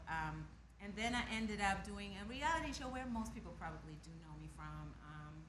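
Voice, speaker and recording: At a moderate pace, a woman speaks with big swings in loudness, with audible room echo and noticeable background noise. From Germany, Hamburg. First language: German. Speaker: R&B singer. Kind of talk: casual interview.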